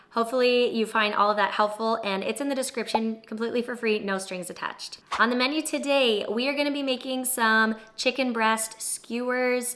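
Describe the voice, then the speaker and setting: Speaking at a fairly quick pace, a woman uses a fairly high pitch and an animated tone in a Canadian accent. Noticeable background noise runs behind her. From Ontario, Canada. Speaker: cooking and fitness vlogger. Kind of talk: casual tutorial.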